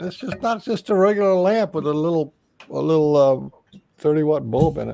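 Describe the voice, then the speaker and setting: Fairly quick and lively in intonation, a man speaks with a fairly high pitch. His tone is dark and mellow. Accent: American. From Colorado, Denver (born Texas). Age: 50s. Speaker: podcast guest. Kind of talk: casual chat.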